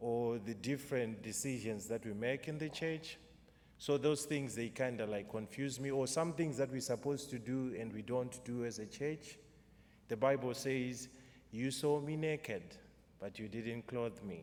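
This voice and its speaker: Amid audible room echo, a man with a Zimbabwean accent talks at a moderate pace and medium pitch, with ordinary pitch variation. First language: Shona. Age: 30s. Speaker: poet. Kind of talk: poetry performance with spoken introduction. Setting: church concert with audience.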